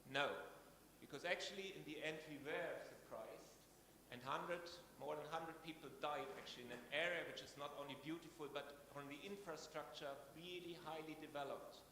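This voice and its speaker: A man with a German accent talks at a fairly quick pace and a fairly high pitch. His intonation is fairly even, with audible room echo. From Germany. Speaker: scientist at a research institution. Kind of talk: conference talk.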